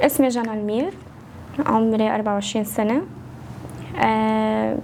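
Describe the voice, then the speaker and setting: A woman with a Lebanese accent talks at a fairly slow pace. Noticeable background noise can be heard. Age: 20s. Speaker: social media creator and singer. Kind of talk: casual interview.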